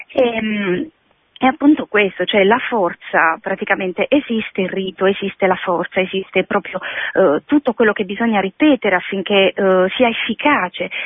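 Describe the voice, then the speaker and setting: Moderate pace, very even loudness and ordinary pitch variation. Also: woman, medium pitch for a woman. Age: 40s. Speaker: radio caller, mother. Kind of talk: call-in question.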